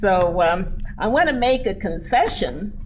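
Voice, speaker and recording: Lively intonation from a woman with an American accent, with audible room echo. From US West, Denver, Colorado. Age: 70s. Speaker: keynote speaker, former mayor. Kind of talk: keynote speech. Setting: convention stage with audience.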